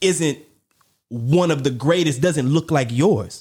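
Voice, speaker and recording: In a very clean recording with a silent background, a man with an American accent speaks in an animated tone, his fairly high, somewhat breathy voice carrying lively intonation. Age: 40s. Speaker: podcast host. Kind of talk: casual discussion.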